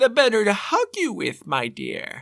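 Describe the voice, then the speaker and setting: Put-on character voice at a moderate pace. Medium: read story. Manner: falsely sweet, sly.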